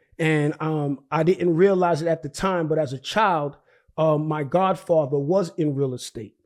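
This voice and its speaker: With a New York accent, a man with a fairly high pitch and fairly even intonation speaks at a moderate pace on a very clean recording with a silent background. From Brooklyn, New York (Haitian family). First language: Haitian Creole. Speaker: real estate investor. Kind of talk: interview. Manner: halting, many repetitions.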